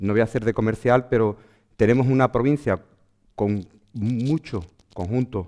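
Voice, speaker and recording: Dry and close with no echo, a man's dark, mellow voice at medium pitch moves along at a fairly quick pace. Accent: Andalusian. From Andalusia, Huelva. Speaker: archaeologist. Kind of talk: lecture. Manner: fast.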